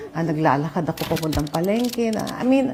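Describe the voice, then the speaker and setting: Over noticeable background noise, a woman's voice moves in very wide pitch swings. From Philippines. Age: 60s. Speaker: retired actress. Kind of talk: interview. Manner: casual, mixing Tagalog and English.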